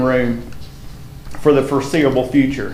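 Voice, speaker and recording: In a Tennessee accent, a man speaks at a fairly slow pace with audible room echo. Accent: Southern US (Tennessee). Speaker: school principal. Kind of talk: presentation at school board meeting.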